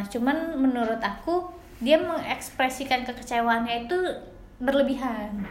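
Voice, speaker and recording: With audible room echo and noticeable background noise, a woman speaks at a high pitch. Her pace is moderate and her pitch varies in an ordinary way. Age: 20s. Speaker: podcast co-host, office worker. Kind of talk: casual chat.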